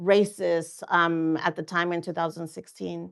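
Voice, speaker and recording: A woman talks at a fairly slow pace, and behind her the background is quiet. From Mexico, raised in Oregon farm worker community. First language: Spanish. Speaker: political candidate. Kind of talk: interview. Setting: studio. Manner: halting, many fillers.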